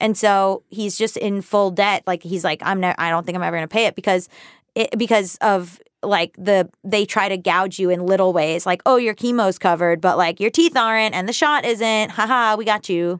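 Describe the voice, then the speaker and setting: A woman with a normal speaking voice talks at a moderate pace and medium pitch, with ordinary pitch variation. The recording is very clean, dry and close, with no echo and a silent background. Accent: American. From US South. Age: 30s. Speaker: writer and personal finance author. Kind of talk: casual chat.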